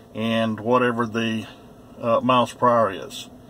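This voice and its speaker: Noticeable background noise sits behind a man's voice. He speaks at a medium pitch with monotone, flat intonation. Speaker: first amendment auditor vlogger. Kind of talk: casual monologue to camera. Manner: slow.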